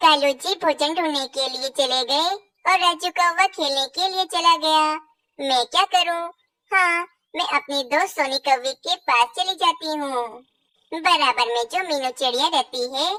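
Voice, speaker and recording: At a moderate pace, a female-sounding cartoonish character voice squeaks at a high pitch. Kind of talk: children's cartoon acting.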